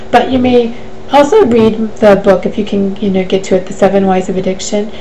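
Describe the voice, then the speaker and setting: Amid noticeable background noise and audible room echo, a woman at medium pitch speaks at a fairly quick pace with fairly even intonation. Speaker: life coach. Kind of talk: live Q&A webcast. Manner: fast.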